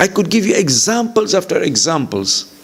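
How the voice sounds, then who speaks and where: Over noticeable background noise, a man with an East African accent speaks at a moderate pace. His pitch swings very widely. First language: Swahili. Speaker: visiting Islamic lecturer. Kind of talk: religious lecture.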